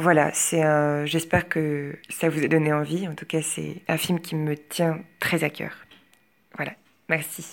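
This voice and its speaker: Very slow and very deep, low in pitch, a woman's monotone, flat delivery is broken by long, frequent pauses. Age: 20s. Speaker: drama student. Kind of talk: film review. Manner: hesitant, with fillers and repetitions.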